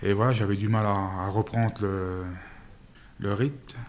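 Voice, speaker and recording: The speaker is a man with a fairly low pitch. He talks at a very slow pace with fairly even intonation. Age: 30s. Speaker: volunteer. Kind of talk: interview testimony. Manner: halting, many fillers.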